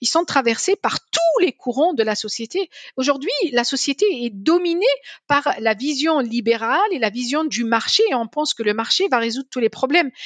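High pitch and lively intonation from a woman at a moderate pace. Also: dry, close sound with no echo. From Algeria, Algiers. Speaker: energy policy scientist and economist. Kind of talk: interview.

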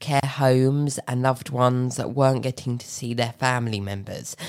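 In a very clean recording with a silent background, a woman with a southern English accent speaks at a very deep, low pitch. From Tunbridge Wells, Kent, England. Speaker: podcast host. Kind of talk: interview.

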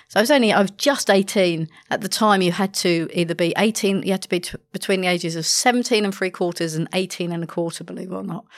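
A woman with a London accent talks at a very fast pace and medium pitch, with ordinary pitch variation, in a very clean recording with a silent background. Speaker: hostage negotiator. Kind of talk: podcast interview.

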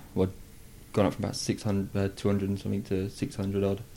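A man speaks in a fairly low pitch with a dark, mellow tone. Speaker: football club media officer. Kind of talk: casual chat. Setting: club training ground interview room.

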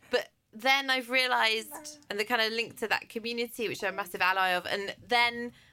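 A woman speaks with an English accent, her tone bright and sharp. Her pitch sits fairly high with ordinary variation, and her pace is fairly quick. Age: 30s. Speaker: head of broadcast and podcast producer, new mother. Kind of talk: casual chat. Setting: studio.

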